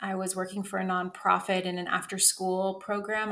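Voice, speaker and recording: A woman's medium-pitched voice at a moderate pace. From Northern California. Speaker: Spanish coach. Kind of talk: casual chat.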